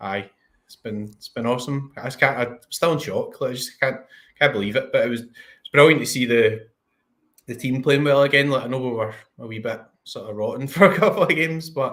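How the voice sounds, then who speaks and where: With a Scottish accent, a man talks at a fairly quick pace in a medium pitch with ordinary pitch variation. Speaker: fantasy football streamer. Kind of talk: casual chat. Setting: live stream.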